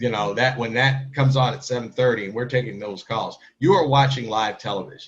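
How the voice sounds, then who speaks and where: Spoken at a fairly quick pace with an American accent and hardly any pauses. The voice is somewhat breathy, with ordinary pitch variation. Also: man, medium pitch for a man. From US Midwest, St. Louis area (Kirkwood, Missouri). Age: 50s. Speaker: newspaper editor and TV panelist. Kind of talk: interview.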